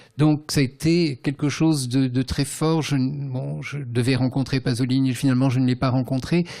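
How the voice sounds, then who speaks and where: The recording is very clean, with a silent background. A man at medium pitch uses a dark, mellow tone, a moderate pace, and a monotone, flat intonation. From Tunisia, then France from about age 10. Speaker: writer and translator. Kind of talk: literary conversation. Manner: hesitant, many fillers.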